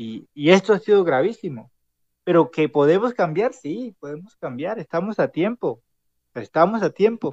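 A man with a high voice speaks at a moderate pace, his pitch swinging very widely and his loudness swinging a lot, in a dry, close sound with no echo. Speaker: city councillor and student leader. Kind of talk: casual chat.

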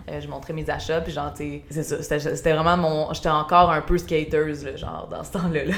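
Speech comes at a moderate pace with hardly any pauses, and audible room echo surrounds it. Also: woman. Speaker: podcast host and YouTuber. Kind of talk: casual chat. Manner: relaxing.

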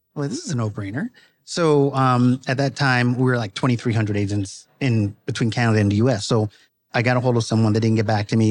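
Against a quiet background, a man with an American accent and an ordinary speaking voice talks at a fairly quick pace in a medium pitch with fairly even intonation. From US East Coast, Brooklyn, New York. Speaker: real estate broker. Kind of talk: casual interview. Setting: live at an industry summit.

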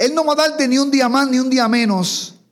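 A man's extremely high-pitched voice carries audible room echo. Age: 50s. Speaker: pastor. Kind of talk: sermon.

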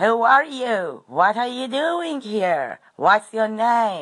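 This is a put-on character voice with fairly high pitch. It moves at a very slow pace. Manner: demanding, gruff.

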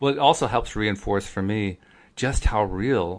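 Against a quiet background, a man with an American accent speaks at a fairly low pitch. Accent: East Coast American, moderated. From US East Coast. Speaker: podcast host. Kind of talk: casual conversation, podcast intro.

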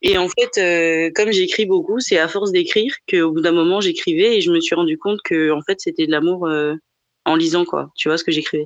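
A woman's moderate-paced speech comes through over a quiet background. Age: 20s. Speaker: podcast guest sharing a personal love story. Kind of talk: casual chat. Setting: live podcast recording.

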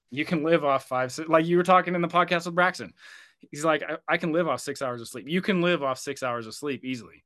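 Against a quiet background, a man talks at a very fast pace in a fairly high pitch with a bright, sharp tone, ordinary pitch variation, and big swings in loudness. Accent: American. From Oregon, US. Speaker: firefighter and endurance runner. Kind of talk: casual interview chat.

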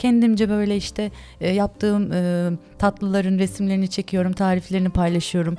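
A woman talks at a fairly quick pace and medium pitch over background music. Her intonation is monotone and flat, and her loudness is very even. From Turkey (Istanbul and Ankara). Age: 40s. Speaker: ice cream and dessert shop owner. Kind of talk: casual interview chat.

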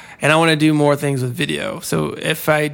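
A man talks in a plain, everyday voice, fairly high in pitch, with fairly even intonation at a moderate pace. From US South. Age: 30s. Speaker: freelance designer. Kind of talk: casual chat.

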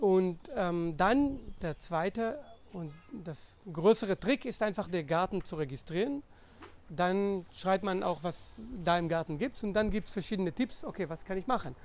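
Speaking at a fairly slow pace, a man uses a high pitch and lively intonation. He has a non-native accent. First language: non-native German speaker (speaking German). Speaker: scientist and conservation volunteer. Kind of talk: podcast interview. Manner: halting, many fillers.

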